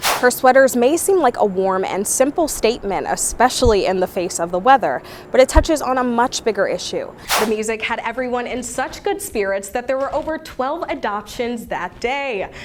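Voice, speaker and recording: Over noticeable background noise, a high-pitched woman speaks at a moderate pace, her pitch swinging very widely. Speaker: news reporter and anchor. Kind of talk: news package narration.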